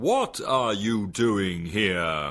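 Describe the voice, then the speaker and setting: In a very clean recording with a silent background, someone performs a put-on character voice. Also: man. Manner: loud, angry.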